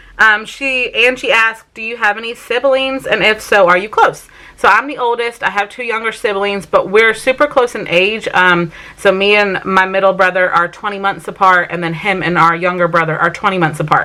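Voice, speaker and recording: With hardly any pauses, a woman with an American accent speaks fairly quickly at a medium pitch and ordinary pitch variation, against noticeable background noise. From Vermont, US. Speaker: family vlogger. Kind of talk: casual Q&A vlog talk. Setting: sit-down home video.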